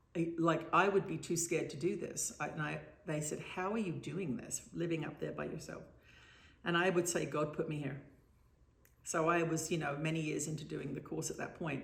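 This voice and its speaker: With vocal fry, a woman with a very deep, low voice speaks at a moderate pace in fairly even intonation, with audible room echo. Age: 60s. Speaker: spiritual author and trance channel. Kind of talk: interview. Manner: halting.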